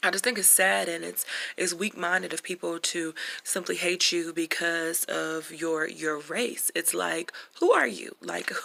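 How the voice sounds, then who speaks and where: With an American accent, a woman speaks at a fairly slow pace over noticeable background noise. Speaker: vlogger. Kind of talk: casual monologue. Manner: halting, many fillers.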